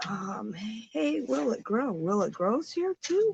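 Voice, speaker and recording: A woman talks quietly at a very slow pace, her medium pitch swinging very widely. The sound is dry and close, with no echo. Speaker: livestream host. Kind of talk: casual livestream chat with viewers. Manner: quiet, subdued.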